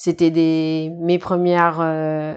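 A woman is speaking. Her voice sits at a fairly low pitch. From New Caledonia. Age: 20s. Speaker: teacher and clothing entrepreneur. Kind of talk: interview. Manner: casual, hesitant.

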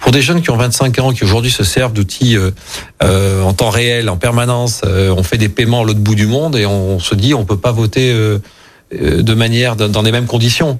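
Speaking at a moderate pace, a man uses a normal speaking voice at medium pitch, with ordinary pitch variation and very even loudness. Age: 50s. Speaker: local politician. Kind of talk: radio interview.

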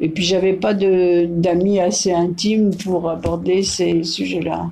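In a dark, mellow tone, a woman speaks at a very slow pace with a fairly low pitch. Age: 80s+. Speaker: great-grandmother interviewed by granddaughter. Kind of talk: casual interview. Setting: home, over coffee. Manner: halting, many hesitations.

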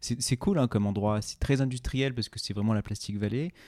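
A man speaks with ordinary pitch variation. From France, Ain (Oyonnax). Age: 30s. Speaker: podcaster and fashion brand co-founder. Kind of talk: casual interview. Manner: halting, many repetitions.

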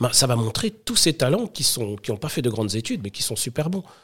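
A man's ordinary speaking voice, medium in pitch, fairly quick in pace, and with ordinary pitch variation. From Paris suburbs (Sarcelles), France. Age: 30s. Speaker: startup founder. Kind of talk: casual interview.

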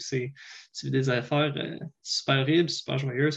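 A man speaks with a Quebec accent. His pace is fairly slow. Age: 20s. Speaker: paramedic. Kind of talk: interview.

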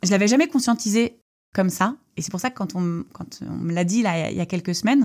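With lively intonation, a woman speaks at a medium pitch on a very clean recording with a silent background. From Brittany, France (Lorient). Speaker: entrepreneur. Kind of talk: interview. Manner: halting.

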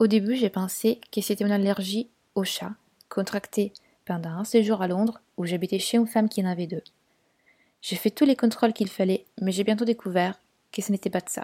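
A woman at medium pitch with a dark, mellow tone, somewhat breathy, at a fairly quick pace with long, frequent pauses and fairly even intonation, in a dry, close sound with no echo and a very clean recording against a silent background. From Italy, Turin. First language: Italian (speaking French). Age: 20s. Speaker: podcast guest sharing personal experience. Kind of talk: personal testimony.

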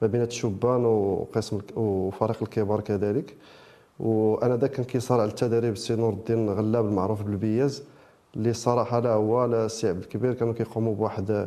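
A man with a dark, mellow tone and medium pitch, monotone, flat intonation, very even loudness, and a moderate pace. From Morocco, Rabat area. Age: 30s. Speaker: football coach. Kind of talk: interview.

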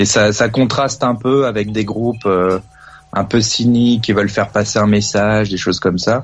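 A man talks at a moderate pace in a fairly low, flat monotone. Background noise is noticeable. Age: 30s. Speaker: radio show caller. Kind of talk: casual chat. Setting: phone call.

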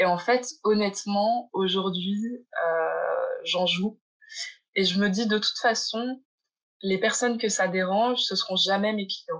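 Her pitch medium and ordinarily varied, a woman speaks at a very slow pace. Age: 20s. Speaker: gallery founder. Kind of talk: interview. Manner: halting.

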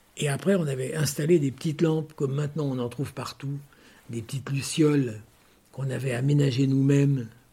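Somewhat breathy, the voice has a dark, mellow tone. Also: man. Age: 70s. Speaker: metalwork craftsman for fashion houses. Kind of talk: interview storytelling. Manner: halting, many repetitions.

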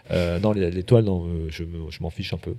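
A man is speaking. His tone is dark and mellow. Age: 30s. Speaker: chef. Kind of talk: casual chat. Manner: animated.

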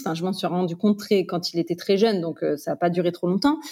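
At a very fast pace, this voice carries a dark, mellow tone. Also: woman. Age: 30s. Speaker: real estate investor and trainer. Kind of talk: casual interview testimony.

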